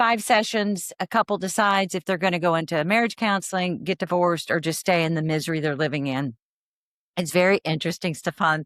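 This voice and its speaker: An unremarkable speaking voice with an American accent at a fairly quick pace, ordinary pitch variation, and a dry, close sound with no echo on a very clean recording with a silent background. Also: woman, fairly low pitch for a woman. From Texas, Fort Worth. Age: 60s. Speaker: therapist. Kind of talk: podcast interview.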